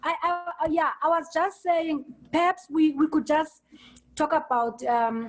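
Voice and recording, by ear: A woman speaks at a fairly slow pace, high in pitch and with fairly even intonation.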